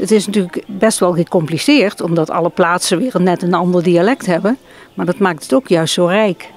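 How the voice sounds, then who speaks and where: Noticeable background noise accompanies a woman's voice. She keeps a moderate pace and ordinary pitch variation. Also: medium pitch for a woman. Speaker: dialect translator. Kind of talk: interview answer.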